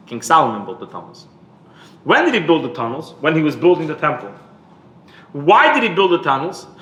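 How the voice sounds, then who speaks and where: Audible echo from the room surrounds this man's voice. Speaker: rabbi. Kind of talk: lecture. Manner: repetitive, halting.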